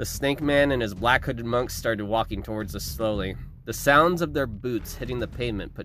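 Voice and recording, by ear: With pitch that varies in an ordinary way, a natural voice reads text aloud.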